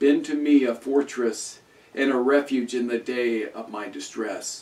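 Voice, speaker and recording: Here a man speaks at a very slow pace. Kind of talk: liturgical reading. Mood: calm, devotional. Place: home room.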